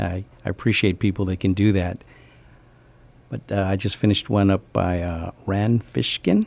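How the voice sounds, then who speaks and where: In an American accent, a man speaks at a moderate pace with a very deep, low pitch and fairly even intonation. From US East and West Coast, teens in San Antonio. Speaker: entrepreneur, event calendar founder. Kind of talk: interview. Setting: radio studio.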